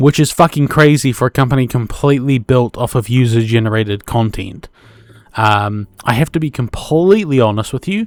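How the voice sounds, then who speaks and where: At a fairly quick pace, a man speaks at medium pitch with ordinary pitch variation, the sound dry and close with no echo. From New Zealand. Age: 20s. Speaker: podcast host. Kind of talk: casual solo podcast monologue. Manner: hesitant, many fillers.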